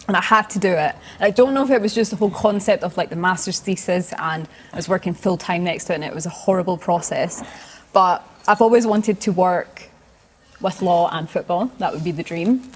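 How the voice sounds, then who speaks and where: In a Scottish accent, a woman talks at a fairly quick pace and medium pitch, with ordinary pitch variation. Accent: Scottish, picked up. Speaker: podcast co-host. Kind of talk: casual chat. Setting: hotel basement with live audience.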